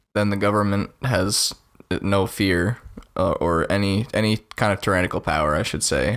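A man with an American accent speaks at a moderate pace in a plain, everyday voice, fairly low in pitch, with ordinary pitch variation and very even loudness. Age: 20s. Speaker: podcast co-host. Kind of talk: casual political discussion.

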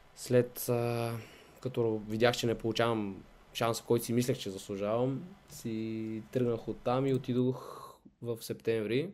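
An ordinary speaking voice belongs to this man, pitched at a medium level. His pace is fairly slow and his intonation fairly even. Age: 20s. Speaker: professional football goalkeeper. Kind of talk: interview.

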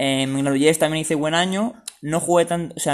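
A man with an unremarkable speaking voice talks at a fairly high pitch with ordinary pitch variation, in a very clean recording with a silent background. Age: 20s. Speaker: semi-professional footballer and student. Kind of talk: interview.

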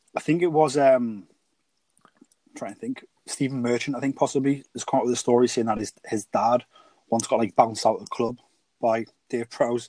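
Dry, close and free of echo, a man with a British accent and a dark, mellow tone speaks at medium pitch and moderate pace with fairly even intonation, long, frequent pauses and big swings in loudness. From UK. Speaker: podcast co-host. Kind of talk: casual chat.

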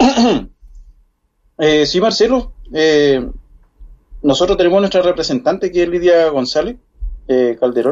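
Lively in intonation and high-pitched for a man, he talks at a fairly slow pace with long, frequent pauses. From Chile, far south (Puerto Williams). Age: 40s. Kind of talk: interview. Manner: halting.

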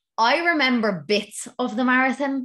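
Her tone is bright and sharp, and her intonation lively, with an Irish accent. The woman is heard against a quiet background. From Ireland. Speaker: running podcast host. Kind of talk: solo Q and A podcast. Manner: casual, laughing often.

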